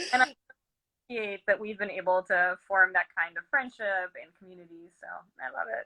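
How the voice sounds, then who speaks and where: A woman with a Portuguese accent speaks at a fairly quick pace in a medium pitch, her bright, sharp tone carrying ordinary pitch variation and big swings in loudness. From Brazil. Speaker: fiber artist and yarn dyer. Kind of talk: interview.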